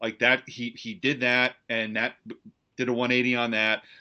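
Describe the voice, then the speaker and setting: A man speaks with an American accent. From central New Jersey. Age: 40s. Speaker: author. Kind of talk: casual interview chat. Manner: hesitant, repeats words.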